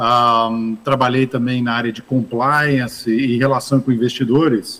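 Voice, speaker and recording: A man talks with monotone, flat intonation. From Brazil, interior of São Paulo state (Ribeirão Preto). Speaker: investment fund manager. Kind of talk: interview at business summit.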